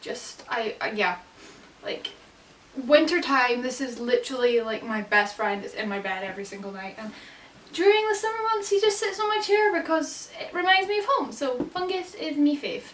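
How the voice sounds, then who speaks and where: A woman with a Scottish accent speaks in an upbeat tone at a high pitch and a moderate pace, with very wide pitch swings and big shifts in loudness. Noticeable background noise sits behind her. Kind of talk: casual talk to camera. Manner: upbeat, chatty.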